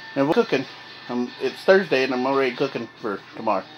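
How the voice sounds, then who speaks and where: Music plays in the background as a man speaks. His pace is fairly quick and his intonation lively. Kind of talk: casual vlog chat. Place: home room. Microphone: phone near.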